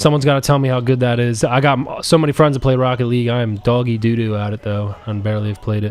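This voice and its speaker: A man at a medium pitch, talking at a very fast pace with hardly any pauses and fairly even intonation, over noticeable background noise. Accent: American. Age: 20s. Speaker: gaming streamer. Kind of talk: casual chat. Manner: rambling, halting.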